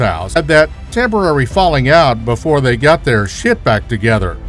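Music plays behind speech delivered at a moderate speed. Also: man. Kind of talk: comedic movie trailer narration.

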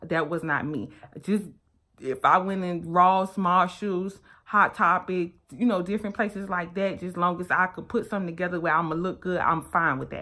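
Here a woman with an American accent speaks at a moderate pace, her fairly low voice bright and sharp in tone with fairly even intonation. The recording is very clean, with a silent background. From US South, Miami, Florida. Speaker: fashion vlogger and boutique owner. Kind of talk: casual vlog monologue. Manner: rambling, conversational.

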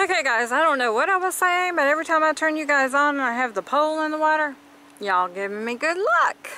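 A woman speaks at a high pitch with a bright, sharp tone. Her intonation is lively and her pace fairly quick.

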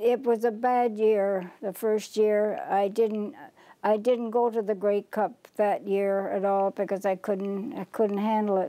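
The tone is dark and mellow, with fairly even intonation. Speech moves at a fairly slow pace. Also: woman, fairly high pitch for a woman. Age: 80s+. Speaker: longtime football fan. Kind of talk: interview answer. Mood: reminiscing, calm. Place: home room. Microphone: lapel.

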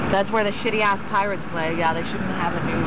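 Fairly quick speech, dry with no echo, under loud background noise. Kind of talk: casual chat, giving directions. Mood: excited, playful. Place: car. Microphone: phone near.

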